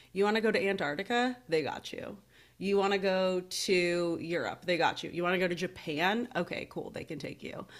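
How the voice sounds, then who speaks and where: A woman with an American accent, an ordinary speaking voice, medium pitch and ordinary pitch variation, in a very clean recording with a silent background. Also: moderate pace. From Seattle area, US. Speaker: podcast host. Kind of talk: casual chat.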